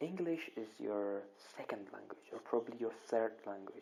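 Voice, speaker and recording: The speaker has a Kurdish accent. The pace is moderate. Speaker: English grammar teacher. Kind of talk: online lesson. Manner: hesitant, many repetitions.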